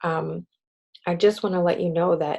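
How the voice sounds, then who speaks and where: A woman speaks quietly in a medium-pitched voice. Her tone is dark and mellow, and her pace fairly slow. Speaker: direct sales team leader. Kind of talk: motivational team call. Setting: video call. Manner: quiet, subdued; halting, with fillers.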